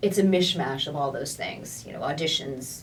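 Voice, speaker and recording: A woman's very deep, low voice with ordinary pitch variation over noticeable background noise. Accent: American. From United States. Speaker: voice actor. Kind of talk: interview answer.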